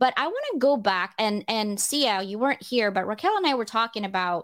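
A woman speaks with lively intonation at a fairly high pitch. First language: not English. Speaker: podcast host. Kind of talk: casual chat.

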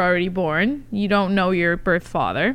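The speaker is a woman with a bright, sharp tone. Her intonation stays fairly even. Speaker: podcast host. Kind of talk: casual interview chat.

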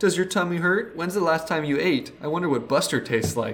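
Using a put-on character voice, a man talks fairly quickly at a high pitch over clear background noise. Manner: mocking, taunting.

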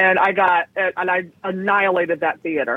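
The speaker is a woman. Her accent is American. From San Francisco, California. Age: 50s. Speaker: comedian. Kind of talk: casual chat. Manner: animated.

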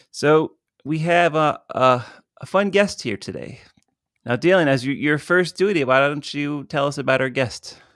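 The voice moves at a moderate pace with ordinary pitch variation, an unremarkable speaking voice. It is a very clean recording with a silent background. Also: man, fairly high pitch for a man. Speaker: podcast host and horror filmmaker. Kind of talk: casual chat. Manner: jokey, laughs often.

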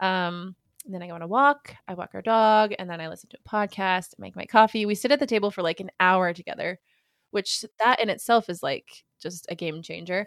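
A woman with an American accent speaks at a moderate pace in an ordinary speaking voice, medium in pitch with ordinary pitch variation and big swings in loudness, recorded very cleanly against a silent background with a dry, close sound and no echo. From Minnesota, later California Bay Area. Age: 30s. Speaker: mom and content creator. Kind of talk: casual chat.

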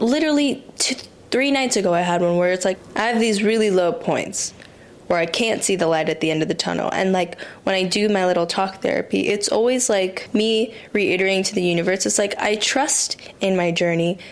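A medium-pitched woman's voice with ordinary pitch variation and very even loudness, at a fairly quick pace, over noticeable background noise. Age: 20s. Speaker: podcast host and model. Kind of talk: casual solo monologue. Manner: rambling, conversational.

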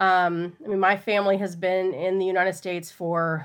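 An American-accented woman in an unremarkable speaking voice talks at a moderate pace with medium pitch and ordinary pitch variation, on a very clean recording with a silent background. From Texas. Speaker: teacher and political candidate. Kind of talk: interview.

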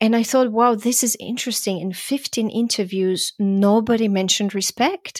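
Speaking with a Croatian accent, a woman sounds animated at a fairly high pitch and moderate pace, the sound dry and close with no echo. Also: hardly any pauses. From Croatia (Zagreb), then Vienna, Austria. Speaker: podcast host. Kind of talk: casual interview. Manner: laughs often, animated.

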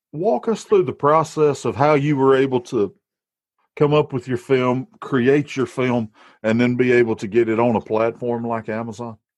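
This man speaks with a strong Alabama accent. His voice has a medium pitch. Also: ordinary pitch variation, moderate pace, quiet background. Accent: strong Southern US (Alabama). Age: 30s. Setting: back porch, recording at home.

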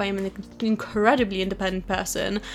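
Music behind a woman's voice, delivered at a moderate pace. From Poland. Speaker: YouTuber and podcast host. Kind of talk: solo podcast monologue. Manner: talkative, animated.

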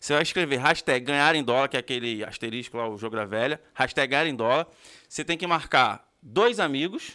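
The delivery moves at a fairly quick pace with an energetic tone. The tone is also bright and sharp. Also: man, fairly high pitch for a man, ordinary pitch variation, very clean recording, silent background. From Brazil, Rio de Janeiro. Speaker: podcast host. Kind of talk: casual chat.

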